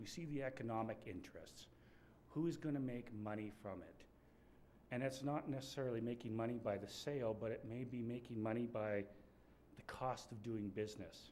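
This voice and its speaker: Pitched in the middle range, a man's dark, mellow voice moves at a fairly quick pace with ordinary pitch variation, and room echo is audible. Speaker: wildlife enforcement official. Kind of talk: conference presentation. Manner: soft-spoken.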